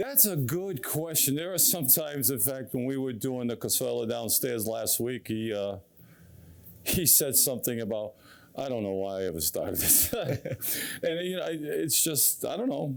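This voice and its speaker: A man speaks in a plain, everyday voice at a medium pitch and moderate pace. His intonation is lively, while his loudness stays very even. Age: 60s. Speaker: club member. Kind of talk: interview.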